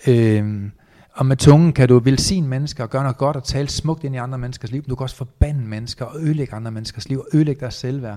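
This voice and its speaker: The speech moves at a very fast pace with fairly even intonation and big swings in loudness. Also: man, medium pitch for a man. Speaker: entrepreneur and motivational speaker. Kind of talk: interview.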